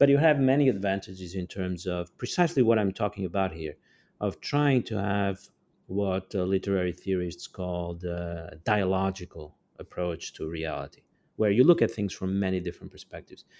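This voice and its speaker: In a very clean recording with a silent background, a man with a Portuguese accent speaks fairly quickly in a very deep, low pitch with a dark, mellow tone. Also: ordinary pitch variation. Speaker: author and geopolitical theorist. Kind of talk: interview. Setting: podcast recording.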